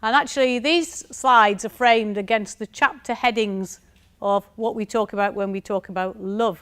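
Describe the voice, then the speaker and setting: A woman talks at a moderate pace with a strong northern English accent. Her pitch is fairly high, and the recording is very clean with a silent background. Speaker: university lecturer. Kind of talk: conference talk.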